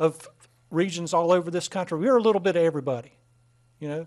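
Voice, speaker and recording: With a Southern US accent, a man speaks in a high pitch with ordinary pitch variation against a quiet background. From North Carolina, US. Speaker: mayor chairing council meeting. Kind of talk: council meeting proceedings. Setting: council chamber. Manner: halting, many fillers. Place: hall. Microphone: podium.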